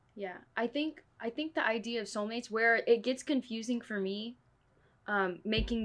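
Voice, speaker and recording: A woman talks at a moderate pace with ordinary pitch variation in a plain, everyday voice. The background is quiet. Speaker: podcast host. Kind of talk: casual chat.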